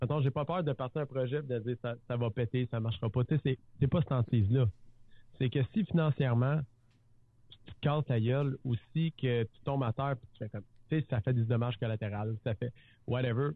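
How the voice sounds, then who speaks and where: With an ordinary speaking voice, a man talks fairly quickly at a medium pitch and with ordinary pitch variation. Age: 30s. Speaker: real estate entrepreneur and TV personality. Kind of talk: casual interview chat.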